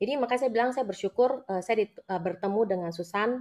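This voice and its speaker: A woman talks at a very fast pace with a fairly high pitch and lively intonation, in a Jakarta accent. The background is quiet. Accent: Indonesian accent, Jakarta. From Jakarta, Indonesia. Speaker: businesswoman and network marketing leader. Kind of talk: live interview, personal testimony. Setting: live video. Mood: grateful, warm. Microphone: video call.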